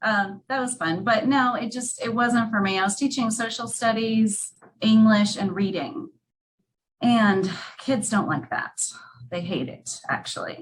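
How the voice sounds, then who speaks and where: A woman speaks at a fairly slow pace with ordinary pitch variation. Her voice sounds somewhat breathy. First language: not English. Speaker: real estate team lead. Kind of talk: casual interview chat.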